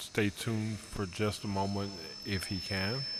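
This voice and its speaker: In a fairly low pitch and a monotone, flat intonation, a man speaks at a very slow pace amid noticeable background noise and audible room echo. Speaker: council official. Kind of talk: public meeting.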